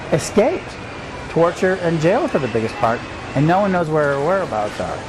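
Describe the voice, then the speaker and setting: A man talks fairly quickly in a high voice with very wide pitch swings. Noticeable background noise runs beneath him. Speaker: roving reporter. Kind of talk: travel report narration. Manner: casual, hesitant.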